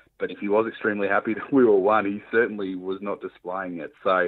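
An Australian-accented male voice, neither fast nor slow. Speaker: football blogger and podcast co-host. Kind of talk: casual chat.

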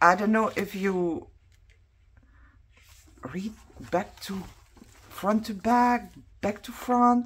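The delivery is very slow, with ordinary pitch variation. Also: woman. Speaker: craft vlogger. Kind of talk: casual haul show-and-tell. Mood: excited, curious.

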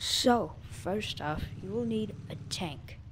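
There is light background noise as the woman talks. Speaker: gaming tutorial youtuber. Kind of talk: casual game tutorial voiceover. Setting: low-quality microphone.

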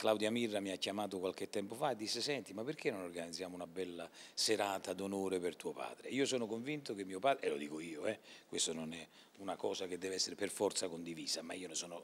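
A man with a fairly low voice talks at a fairly quick pace. His pitch varies an ordinary amount. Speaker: actor interviewed about theatre. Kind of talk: interview answer. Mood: warm, proud. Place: hall. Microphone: handheld.

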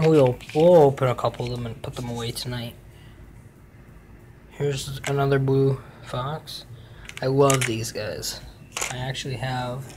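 The speech moves at a fairly slow pace, with long, frequent pauses. Noticeable background noise can be heard. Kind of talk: casual vlog chat. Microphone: phone near.

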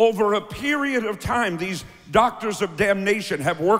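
A man speaks with an American accent and a high pitch. His pace is fairly slow. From United States. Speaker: preacher. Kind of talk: sermon. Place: church. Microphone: handheld.

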